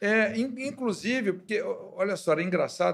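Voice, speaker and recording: Moderate pace with ordinary pitch variation. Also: man. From Brazil, Belo Horizonte. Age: 60s. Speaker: pastor. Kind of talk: interview.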